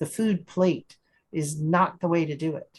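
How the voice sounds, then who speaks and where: This is a plain, everyday voice. The pace is fairly slow. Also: woman. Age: 60s. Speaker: support group host. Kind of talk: casual chat.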